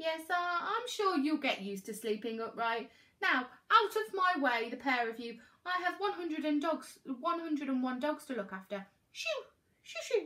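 With big pitch swings and a bright, sharp tone, a put-on character voice goes along at a fairly slow pace. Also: woman, high pitch for a woman.

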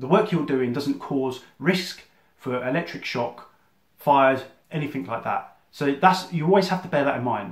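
A man speaks at a moderate pace, somewhat breathy and with lively intonation. The background is quiet, though room echo is audible. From southern England (Surrey); England. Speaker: electrician and business coach. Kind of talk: explainer monologue to camera; casual explanatory talk to camera. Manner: casual, with fillers and restarts. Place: home room. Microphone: phone near.

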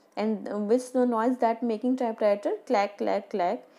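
With an Indian accent, a woman speaks at a fairly high pitch. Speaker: school teacher. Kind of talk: lecture. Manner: slow. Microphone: phone near.

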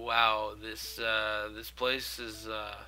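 A man talks at a very slow pace, his pitch fairly low with little movement. His tone is bright and sharp.

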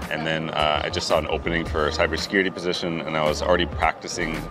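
Clear music plays in the background. Over it, the speech goes at a very fast pace. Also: man. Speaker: interview guest. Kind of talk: interview answer. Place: street.

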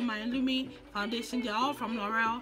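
Over music in the background, a woman talks at a fairly quick pace in a high pitch with ordinary pitch variation. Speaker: makeup vlogger. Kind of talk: casual makeup tutorial talk to camera.

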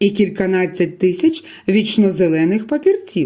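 Text is read aloud in a natural voice. Its intonation moves in a lively way.

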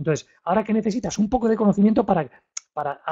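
A man with a dark, mellow tone talks at a very fast pace. The background is quiet. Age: 50s. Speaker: real estate investment trainer. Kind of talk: webinar lecture. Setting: live online webinar. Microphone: studio mic.

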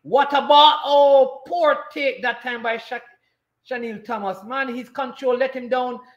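A man with a Jamaican accent speaks at a fairly slow pace in an extremely high pitch, with ordinary pitch variation and a quiet background. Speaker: sports commentator and watchalong host. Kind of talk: live football commentary during a watchalong. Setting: live stream. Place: home room.

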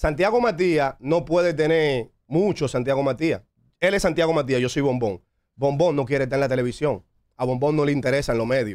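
A man talks at a fairly quick pace in a fairly high voice. His loudness stays very even against a quiet background. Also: lively intonation. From Dominican Republic, San Pedro de Macorís; Dominican Republic. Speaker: music producer and label founder; interview guest. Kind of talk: interview. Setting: studio. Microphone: studio mic.

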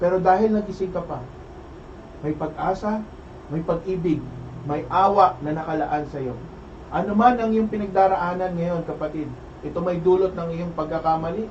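The voice has an animated tone and a moderate pace. Noticeable background noise runs underneath. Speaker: preacher leading opening prayer. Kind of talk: fervent prayer; sermon-like exhortation. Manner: fervent, emphatic, repeating praises; animated, raised voice.

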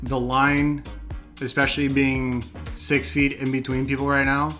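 A man talks at a fairly slow pace. Faint music plays in the background. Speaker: brewery reviewer. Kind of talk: review commentary. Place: home room. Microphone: camera far.

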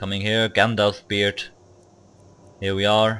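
This is a man's voice. He speaks with a non-native accent. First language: not English. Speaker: video game player. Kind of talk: live gameplay commentary. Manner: hesitant, many filler words.

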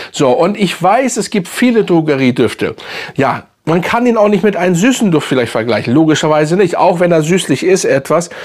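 Against a quiet background, a man talks at a moderate pace with very even loudness. His high voice makes very wide pitch swings. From Hamburg, northern Germany; Germany. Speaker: fragrance YouTuber. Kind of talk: casual product review video. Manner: casual, halting with many fillers. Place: home room.

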